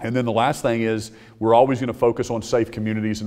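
A man's fairly low voice at a very fast pace, with fairly even intonation and a quiet background. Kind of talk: press conference remarks. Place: hall. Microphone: podium.

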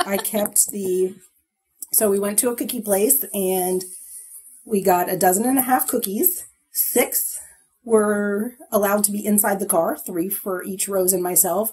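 A woman speaks fairly slowly at a medium pitch with ordinary pitch variation. Music plays in the background. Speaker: podcast co-host. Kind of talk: casual chat.

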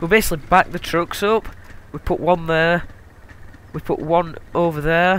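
A high-pitched man with a Yorkshire accent, flat monotone delivery, and long, frequent pauses. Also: moderate pace. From Yorkshire, northern England. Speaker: gaming video creator. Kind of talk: let's play commentary. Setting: recording at home at night. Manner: casual, with many fillers.

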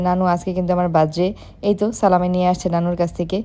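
The woman's voice has a dark, mellow tone at a medium pitch. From Bangladesh, Dhaka. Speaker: lifestyle vlogger. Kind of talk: vlog narration.

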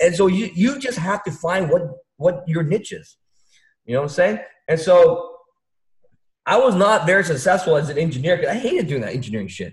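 A man with an American accent talks at a high pitch and fairly quick pace, with an animated tone, lively intonation and long, frequent pauses, in a room with audible echo but a quiet background. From Vietnam, raised in US. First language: Vietnamese. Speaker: stock trader; trading community host. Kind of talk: casual chat. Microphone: webcam.

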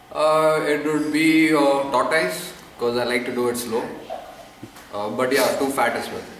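A man talks at a moderate pace with ordinary pitch variation. Audible room echo and light background noise are present. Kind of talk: casual interview answer. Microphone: webcam.

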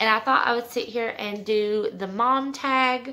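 Against light background noise, a woman with a high pitch and a bright, sharp tone speaks at a moderate pace with ordinary pitch variation. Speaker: mom vlogger. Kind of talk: casual vlog chat. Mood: relaxed, chatty. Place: home room. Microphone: phone near.

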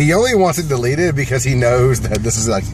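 A man's voice comes through dry with no echo, though noticeable background noise is present. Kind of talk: casual banter among friends. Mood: joking, dark humor. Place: car. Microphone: phone near.

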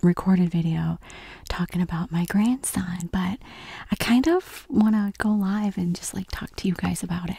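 A soft-spoken woman talks at a medium pitch and a moderate pace with fairly even intonation. The sound is dry, with no echo. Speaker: ASMR creator. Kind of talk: ASMR eating video, casual talk to camera. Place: home room. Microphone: studio mic.

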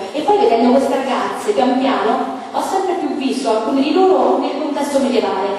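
Amid strong room echo, a woman with a high pitch talks at a fairly quick pace. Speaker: theatre director at a panel. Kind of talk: panel talk. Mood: warm, reflective. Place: hall.

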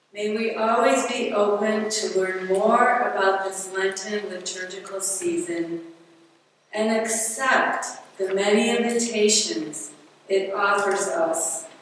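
Very slow speech from a woman, with strong room echo and light background noise. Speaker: lay reader at a church mission. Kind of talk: prayer reading. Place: church.

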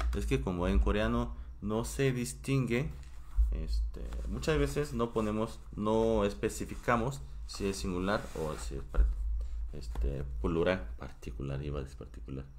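Very deep, low male voice with vocal fry and very wide pitch swings, fairly slow, in audible room echo. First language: Korean (speaking Spanish). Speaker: Korean language teacher. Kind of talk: live-streamed language class. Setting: home live stream.

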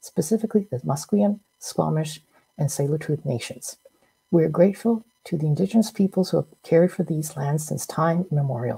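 A woman speaks at a fairly quick pace with vocal fry and a dark, mellow tone over a quiet background. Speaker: physician host. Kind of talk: formal briefing introduction. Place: home room.

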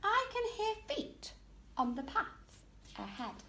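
Using a put-on character voice at an extremely high pitch, a woman talks at a fairly slow pace over clear background noise. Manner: gruff, menacing.

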